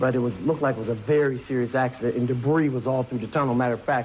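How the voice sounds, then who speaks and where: Against noticeable background noise, a man with an American accent talks at a very fast pace and medium pitch with fairly even intonation. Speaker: eyewitness. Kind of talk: interview answer.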